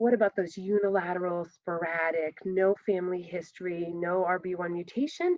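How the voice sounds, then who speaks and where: Here is a woman talking at a medium pitch. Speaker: retinoblastoma survivor and genetics speaker. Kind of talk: conference presentation. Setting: virtual conference. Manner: fast.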